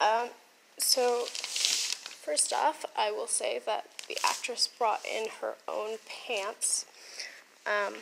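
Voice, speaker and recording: Very slow speech from a woman, broken by long, frequent pauses, over noticeable background noise. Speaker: theatre costumer. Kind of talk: casual vlog talk to camera.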